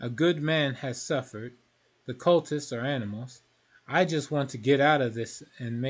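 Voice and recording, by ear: A natural voice reads aloud, varying its pitch in an ordinary way.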